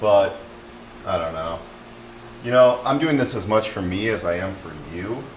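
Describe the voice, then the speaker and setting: Ordinary pitch variation from a man, with noticeable background noise and audible room echo. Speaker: car-repair YouTuber. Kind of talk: casual DIY tutorial monologue. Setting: home garage. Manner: rambling, hesitant with fillers; loud.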